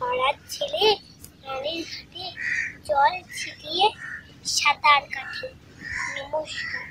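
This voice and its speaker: A woman uses a raised, projected voice at an extremely high pitch with very wide pitch swings. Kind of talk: poetry reading.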